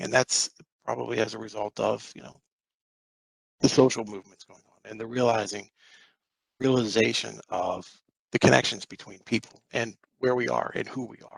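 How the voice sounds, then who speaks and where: A man talks at a moderate pace in a fairly low voice with vocal fry, the sound dry and close with no echo. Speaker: meditation teacher. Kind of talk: presentation.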